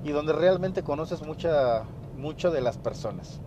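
Here a man talks at a moderate pace with a Mexican accent. His pitch is fairly high and varies in an ordinary way. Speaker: podcast host, fitness business owner. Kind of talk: solo podcast monologue, business advice. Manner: casual, with many fillers.

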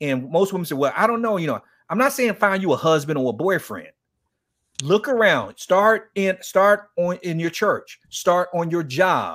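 With an American accent, a man speaks at a moderate pace in a high pitch, his tone animated and his intonation lively, on a very clean recording with a silent background. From Miami, Florida (Liberty City). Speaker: men's ministry founder and author. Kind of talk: interview.

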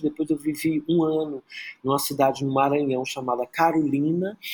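A man talks at a moderate pace in a fairly high pitch. He has an ordinary speaking voice. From Brazil, Rio de Janeiro (Praia Vermelha), born in Teresina. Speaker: choreographer and dancer. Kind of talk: interview conversation.

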